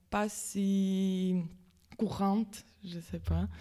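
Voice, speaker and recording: With a Latvian accent, a woman speaks in a dark, mellow tone with fairly even intonation. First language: Latvian (speaking French). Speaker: volunteer. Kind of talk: radio interview. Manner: halting.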